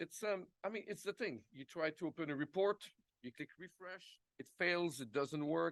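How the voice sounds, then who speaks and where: The sound is dry and close, with no echo. A man speaks in a high pitch. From Quebec, Montreal. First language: French. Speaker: product executive. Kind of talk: conference presentation.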